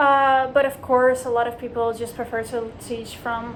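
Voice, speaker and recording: Amid noticeable background noise and audible room echo, a woman speaks fairly slowly in a high voice. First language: Dutch. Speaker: language teacher, vlogger. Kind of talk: casual vlog monologue. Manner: conversational with many fillers.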